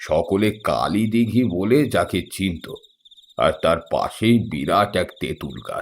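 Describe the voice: Pitch shifts in an ordinary way here. The delivery is plain reading aloud.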